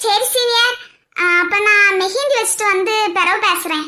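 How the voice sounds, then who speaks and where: A squeaky, cartoonish character voice at a fairly slow pace, its loudness very even. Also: woman, extremely high pitch for a woman. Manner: playful, giggly.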